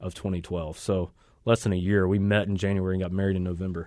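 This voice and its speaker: Against a quiet background, a man with an American accent speaks in a fairly low pitch with monotone, flat intonation. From US South, North Carolina (Raleigh area). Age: 30s. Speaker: pastor. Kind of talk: testimony interview. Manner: halting, many fillers.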